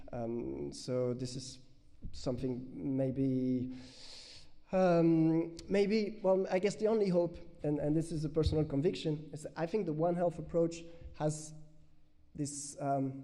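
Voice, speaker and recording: A man at a fairly high pitch, very slow pace with long, frequent pauses, and audible room echo. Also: ordinary pitch variation. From France. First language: French. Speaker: researcher. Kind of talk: conference Q&A answer. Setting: conference with audience. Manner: halting.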